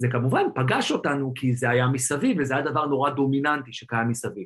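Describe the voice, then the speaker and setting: The speaker sounds somewhat breathy and moves at a fairly quick pace. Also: man. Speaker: tech entrepreneur. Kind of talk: interview.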